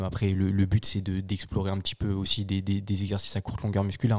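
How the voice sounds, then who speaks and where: In a very clean recording with a silent background, a man talks at a fairly quick pace and a fairly low pitch. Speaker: strength coach student. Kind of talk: casual chat.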